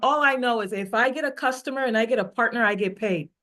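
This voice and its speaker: A woman with an American accent speaks in an animated tone at a moderate pace. Her pitch varies in an ordinary way over a quiet background. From Africa, with years in Texas. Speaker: network marketing leader. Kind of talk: motivational talk on a team call.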